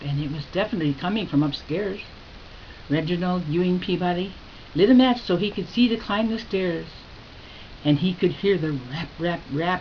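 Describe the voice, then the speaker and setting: A woman speaks with long, frequent pauses. Noticeable noise sits in the background. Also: ordinary pitch variation, moderate pace. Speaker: grandmother storyteller. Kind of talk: spooky Halloween story told to children.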